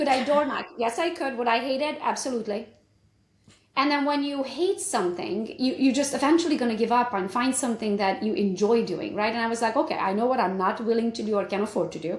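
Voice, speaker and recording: Very fast speech in a Romanian accent carries lively intonation and audible room echo. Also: woman, high pitch for a woman. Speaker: realtor and business coach. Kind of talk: interview.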